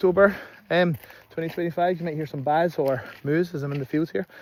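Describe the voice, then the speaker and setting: The man speaks with a Scottish accent. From Scotland. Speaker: political commentator. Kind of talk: casual political monologue. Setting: outdoors in fields. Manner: hesitant, many fillers.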